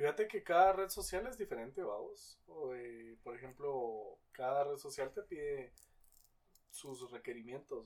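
A fairly slow pace with a Guatemalan accent. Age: 20s. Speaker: content creator. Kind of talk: casual chat.

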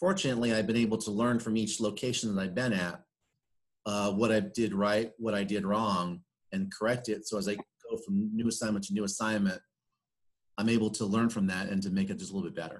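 An ordinary speaking voice from a man, fairly low in pitch, at a fairly quick pace with fairly even intonation. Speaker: business executive. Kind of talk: interview.

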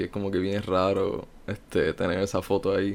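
A man with a fairly low pitch talks at a moderate pace, and the recording is very clean with a silent background. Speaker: meme page creator. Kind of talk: interview. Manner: laid-back.

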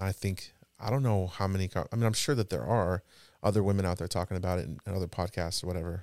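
Speaking at a very fast pace, a man with a very deep, low pitch and ordinary pitch variation is heard in a dry, close sound with no echo on a very clean recording over a silent background. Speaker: podcast host. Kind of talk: casual conversational podcast chat.

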